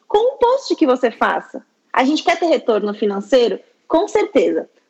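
The woman's voice sits high in pitch. She speaks at a moderate pace. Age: 20s. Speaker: labor lawyer. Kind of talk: interview.

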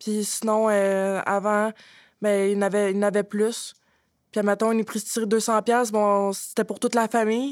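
At a fairly slow pace and with fairly even intonation, a woman speaks at a fairly high pitch in a very clean recording with a silent background. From Quebec, Drummondville. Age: 20s. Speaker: former shelter resident, youth spokesperson. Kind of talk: round-table discussion.

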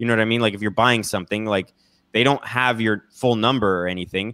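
A man speaks with an American accent in a bright, sharp tone. His pitch is medium, with ordinary pitch variation. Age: 30s. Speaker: political commentator. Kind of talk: casual chat.

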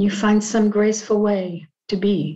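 A woman's fairly high, somewhat breathy voice with a dark, mellow tone, calm tone and monotone, flat intonation. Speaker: podcast host and group facilitator. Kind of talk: guided group discussion on Zoom, reflective talk. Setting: video call. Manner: reflective, calm, thoughtful.

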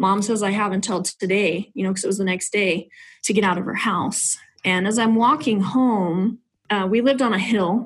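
The woman's voice is somewhat breathy, at a medium pitch. She keeps a moderate pace and ordinary pitch variation. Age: 30s. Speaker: realtor and nonprofit founder. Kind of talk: testimony.

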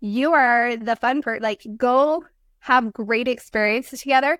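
In an American accent, a woman speaks at a high pitch and moderate pace with ordinary pitch variation, her sound dry and close with no echo on a very clean recording with a silent background. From Utah, US. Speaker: blended family coach. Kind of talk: casual interview.

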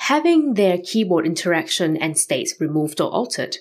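A woman speaks with very wide pitch swings on a very clean recording with a silent background. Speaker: podcast host. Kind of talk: scripted solo podcast narration.

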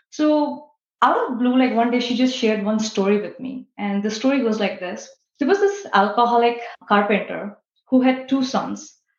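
Speech at a moderate pace with ordinary pitch variation comes through with audible room echo. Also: woman, high pitch for a woman. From India. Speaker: IT transformation leader. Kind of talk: interview.

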